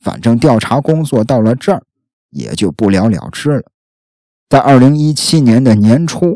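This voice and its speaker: Recorded very cleanly with a silent background and a dry, close sound with no echo, a man speaks at a medium pitch with lively intonation. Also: moderate pace. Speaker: true crime podcast host. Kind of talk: casual true-crime storytelling. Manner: chatty, filler-heavy.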